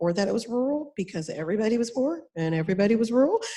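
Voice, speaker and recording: A woman speaks with an American accent. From North Carolina, Thomasville (Piedmont foothills). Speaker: panel speaker on social justice. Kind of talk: panel talk.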